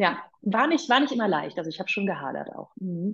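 Vocal fry colors a woman's voice. Her pace is moderate. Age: 40s. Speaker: personal trainer and former radio presenter. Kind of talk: casual interview.

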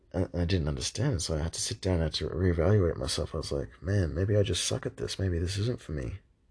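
A man with a very deep, low voice and vocal fry talks at a very fast pace with hardly any pauses. The background is quiet. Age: 20s. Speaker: podcast host, young marketer. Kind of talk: solo monologue podcast. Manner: hesitant, many fillers and repeated words.

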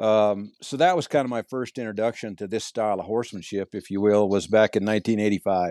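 A man with a rural western US accent talks at a fairly quick pace with hardly any pauses, his dark, mellow tone sounding dry and close with no echo over a quiet background. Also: fairly low pitch for a man, ordinary pitch variation. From Montana. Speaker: cowboy and horsemanship clinician. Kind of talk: casual interview chat.

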